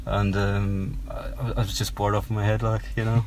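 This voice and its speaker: A man with a Cork accent talks at a fairly quick pace over noticeable background noise. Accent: Irish (Cork). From Cork, southern Ireland. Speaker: singer-songwriter. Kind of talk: casual interview. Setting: in a parked car. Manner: hesitant, many ums.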